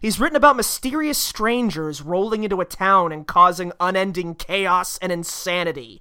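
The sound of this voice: Here is an unforced reading voice. It carries the words through.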